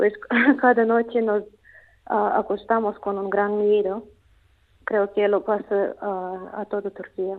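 In a Russian accent, a woman talks very slowly at a medium pitch, with long, frequent pauses. Her intonation stays monotone and flat. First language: Russian (speaking Spanish). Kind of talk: phone interview. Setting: phone call. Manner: halting.

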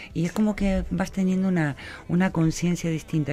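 The speaker is a woman. She keeps a moderate pace. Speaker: radio host. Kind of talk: radio interview. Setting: radio studio.

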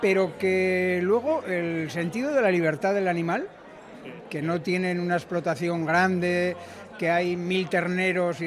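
A man's high voice at a fairly slow pace with fairly even intonation, plus audible room echo and noticeable background noise. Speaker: butcher. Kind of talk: interview.

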